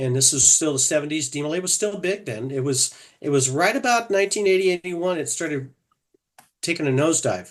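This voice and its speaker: Against a quiet background, a man has a normal speaking voice with an American accent. His intonation is lively. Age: 60s. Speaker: fraternal organization officer. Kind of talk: interview.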